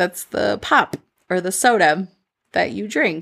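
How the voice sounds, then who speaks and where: Warm and animated, a woman with a Midwestern US accent speaks at medium pitch on a very clean recording with a silent background. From Medellin, Colombia, then Minnesota. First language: Spanish. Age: 30s. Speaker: podcast host, mentor. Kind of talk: solo podcast monologue, personal storytelling. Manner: warm, animated, conversational.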